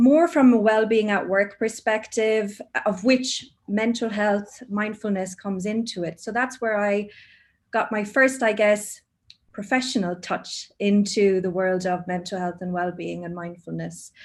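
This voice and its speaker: In an Irish accent, a woman at a medium pitch speaks at a fairly slow pace with ordinary pitch variation. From Ireland, Cork. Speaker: mindfulness teacher, HR professional. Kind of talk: casual chat.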